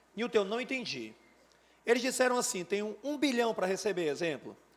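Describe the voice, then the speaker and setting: Lively intonation marks this man's speech. He talks at a moderate pace with a high pitch. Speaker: teacher. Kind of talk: lecture. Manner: animated.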